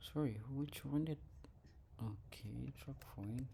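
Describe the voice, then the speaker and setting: Audible room echo surrounds a man who speaks very slowly with a non-native accent and lively intonation. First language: not English. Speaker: programmer showing work progress. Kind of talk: screen-share progress report. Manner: halting, many fillers.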